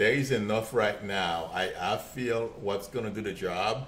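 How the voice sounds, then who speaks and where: Audible room echo accompanies a man speaking at a very slow pace. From Haiti. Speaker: psychic medium and real estate agent. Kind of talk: live stream psychic reading, answering viewer questions. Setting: live video stream. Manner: hesitant, repeats words.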